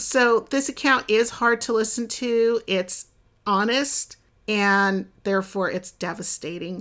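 On a very clean recording with a silent background, a woman speaks at a very slow pace. Her voice is fairly high-pitched. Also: ordinary pitch variation. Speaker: podcast host. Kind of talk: casual interview. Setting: in-person recording next to guest. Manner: animated.

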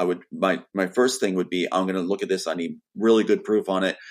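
A man with a fairly low pitch at a fairly quick pace, on a very clean recording with a silent background. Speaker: screenwriter. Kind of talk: casual chat. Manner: fast.

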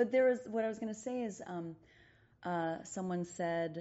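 A woman speaks in an unremarkable speaking voice at a moderate pace. Her intonation is lively. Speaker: stage actor. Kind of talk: casual chat.

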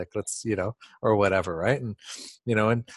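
In a plain, everyday voice, a man talks at a fairly quick pace and medium pitch, with a dry, close sound with no echo and a quiet background. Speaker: podcast host. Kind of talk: conversational interview.

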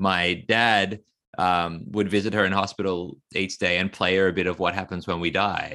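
This man speaks in a very deep, low voice with an Australian accent and a bright, sharp tone. His delivery is monotone and flat, at a moderate pace and very even loudness. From Australia (Sydney, regional New South Wales). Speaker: author and school teacher. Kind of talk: interview conversation. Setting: remote call from Australia.

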